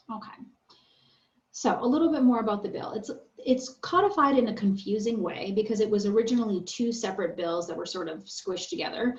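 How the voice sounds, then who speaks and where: A woman's fairly high, fairly quick voice with lively intonation, big swings in loudness and audible room echo. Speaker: attorney. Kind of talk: lecture. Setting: video call. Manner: fast.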